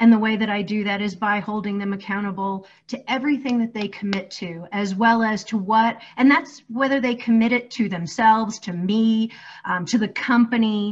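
In a plain, everyday voice, a woman speaks at a moderate pace. Her pitch is fairly high and her intonation fairly even. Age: 40s. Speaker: career coach. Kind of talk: casual chat.

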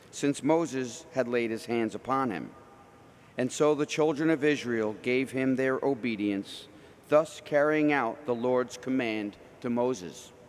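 With an unremarkable speaking voice, a man talks at a fairly slow pace, medium pitch and ordinary pitch variation. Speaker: lector and announcer. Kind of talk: scripture reading.

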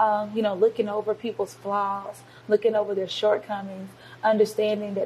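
Noticeable background noise runs under speech in an American accent at a moderate pace. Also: woman. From US South, Georgia (Covington). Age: 20s. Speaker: youth pastor. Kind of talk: interview.

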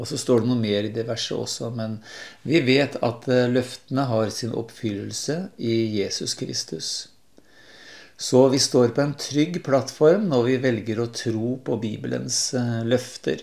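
Speaking at a fairly slow pace, a man uses a medium pitch with vocal fry. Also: ordinary pitch variation. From Lillehammer, eastern Norway. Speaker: nature programme presenter. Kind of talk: radio interview.

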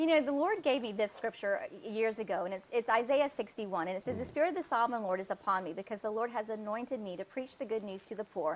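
A woman's fairly high voice with a Georgia accent, lively intonation, a very fast pace and hardly any pauses. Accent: US Southern (Georgia). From Atlanta, Georgia, US South. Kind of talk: testimony. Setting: at her home.

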